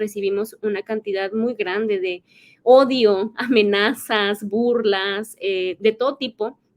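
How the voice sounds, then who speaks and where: With a plain, everyday voice, a woman speaks at a fairly high pitch with ordinary variation, in a dry, close sound with no echo. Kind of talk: podcast interview.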